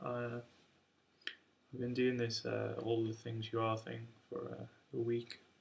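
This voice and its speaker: A man mumbles at a moderate pace. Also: long, frequent pauses. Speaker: amateur jazz guitarist. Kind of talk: casual talk to camera. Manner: mumbling, hesitant.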